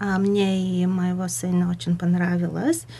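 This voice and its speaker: With a Bulgarian accent, a woman talks at a fairly slow pace and a fairly low pitch. Her voice is somewhat breathy, her intonation fairly even. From Bulgaria, Burgas. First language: Bulgarian (speaking Russian). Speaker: community radio presenter. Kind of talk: radio interview. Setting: radio studio. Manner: halting, searching for words.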